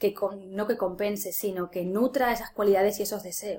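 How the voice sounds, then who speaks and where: Speaking at a fairly slow pace, a woman with a medium pitch and a dark, mellow tone shows ordinary pitch variation. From Spain, Ciudad Real. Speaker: life coach and tarot reader. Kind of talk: interview.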